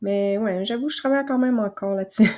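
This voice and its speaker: Recorded very cleanly against a silent background, a woman speaks with a medium pitch, ordinary pitch variation and a dark, mellow tone. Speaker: naturopath and podcast host. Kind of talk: casual podcast monologue. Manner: soft, calm; hesitant with fillers.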